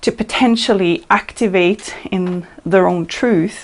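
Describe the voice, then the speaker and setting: A woman of medium pitch talks with a slight non-native accent. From Norway. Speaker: channeler. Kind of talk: presentation.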